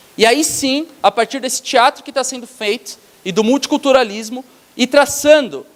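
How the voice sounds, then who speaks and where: The tone is animated, with ordinary pitch variation. The sound is dry and close, with no echo. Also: man. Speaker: lecturer, theatre educator. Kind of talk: lecture to teachers. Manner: fast.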